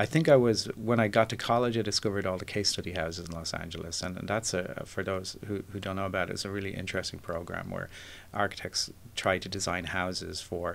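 A man with an Irish accent speaks very fast. His pitch is very deep and low, with ordinary variation. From Ireland, Dublin. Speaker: podcast guest, architect. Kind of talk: interview. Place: studio. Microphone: studio mic.

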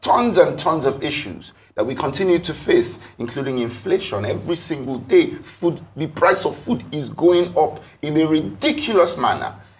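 This man's voice has vocal fry. Its pitch moves in very wide swings. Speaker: talk show guest. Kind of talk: interview answer. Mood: frustrated, critical of government. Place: studio.

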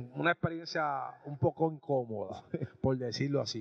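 A fairly slow pace against a quiet background. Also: man. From Puerto Rico. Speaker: sports and music show host. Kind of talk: casual on-location interview. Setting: restaurant. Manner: animated. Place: cafe. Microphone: handheld.

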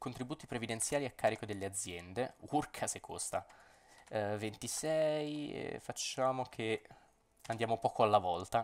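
Ordinary pitch variation at a fairly slow pace. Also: man, medium pitch for a man. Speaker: gaming YouTuber. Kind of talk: gameplay commentary. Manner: animated.

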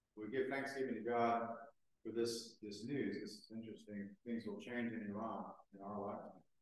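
Strong room echo surrounds a man with a medium pitch who speaks at a moderate pace in a monotone, flat intonation. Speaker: priest leading the liturgy. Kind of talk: fervent liturgical prayer, solemn and intoned in archaic prayer-book language. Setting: church. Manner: solemn, formal, earnest, halting in places. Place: church. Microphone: camera far.

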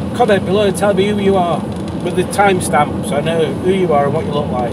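A man talks at a very fast pace. Loud background noise surrounds him. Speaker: car vlogger. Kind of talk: casual vlog chat. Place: car. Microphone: camera far.

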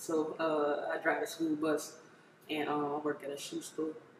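A woman with an American accent and a very deep, low voice, over light background noise and audible room echo. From Maryland, Prince George's County. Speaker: rapper. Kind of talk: interview. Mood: relaxed, casual. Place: home room.

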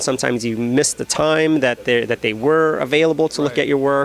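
A man speaks with ordinary pitch variation in a dry recording with no echo and light background noise. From US Midwest, Chicago. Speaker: comic book artist. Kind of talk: interview. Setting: comic convention. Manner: halting, many fillers. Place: shop. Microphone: handheld.

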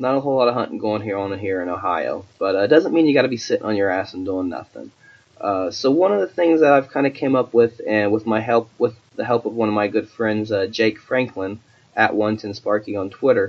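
A man speaks fairly quickly, his pitch varying in an ordinary way, while background noise is noticeable. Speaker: podcast host; hunter. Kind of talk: podcast intro monologue. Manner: halting, many fillers.

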